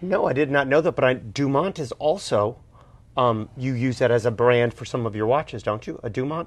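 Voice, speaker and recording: A man with an ordinary speaking voice talks fairly quickly at a medium pitch, with ordinary pitch variation. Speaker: co-host, watch collector. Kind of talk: casual interview.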